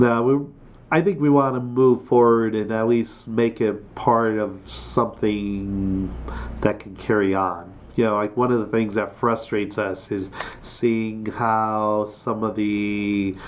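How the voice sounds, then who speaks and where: Light background noise sits under a man speaking very slowly. His voice is fairly low, with fairly even intonation. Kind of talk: interview answer. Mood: friendly, earnest. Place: office.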